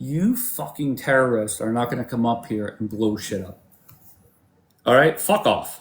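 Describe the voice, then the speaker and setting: A man speaks at a moderate pace in a medium pitch, his animated tone somewhat breathy and his pitch variation ordinary. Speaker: livestream debate host. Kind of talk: heated debate.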